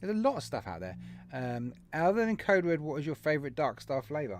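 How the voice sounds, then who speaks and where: A fairly high-pitched man with an English accent, very wide pitch swings and a very fast pace, in a very clean recording with a silent background. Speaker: vape channel live stream host. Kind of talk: live stream chat reading viewer comments.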